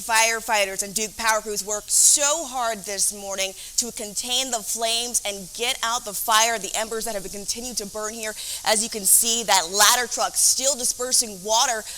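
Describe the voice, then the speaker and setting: Over noticeable background noise, a woman with an American accent speaks at a moderate pace in a fairly high voice with fairly even intonation. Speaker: TV news reporter and anchor. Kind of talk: TV news field reporting, live stand-up.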